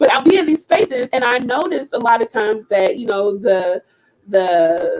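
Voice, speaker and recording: Loud and animated, a high-pitched woman talks at a moderate pace with very wide pitch swings in a dry, close sound with no echo. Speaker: slam poet. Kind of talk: talk to an online audience.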